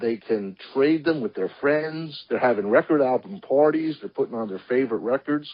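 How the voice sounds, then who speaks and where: A man talks at a moderate pace. His voice is fairly high in pitch. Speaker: sports collectibles dealer. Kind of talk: interview. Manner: quiet.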